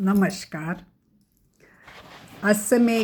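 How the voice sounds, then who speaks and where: A somewhat breathy woman's voice with a Marathi accent. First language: Marathi (speaking Hindi). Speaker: cancer survivor sharing her story. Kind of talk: personal testimony. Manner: halting, many fillers.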